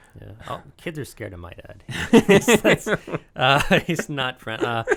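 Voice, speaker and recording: A man talks at a medium pitch and a fairly slow pace, with vocal fry. His pitch swings very widely and his loudness shifts a lot. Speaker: podcast host. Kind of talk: radio podcast interview. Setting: studio.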